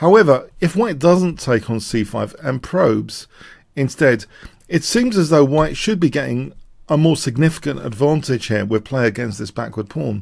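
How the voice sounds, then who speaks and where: Over a quiet background, a man speaks at a moderate pace. His intonation is lively. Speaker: chess commentator. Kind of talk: commentary.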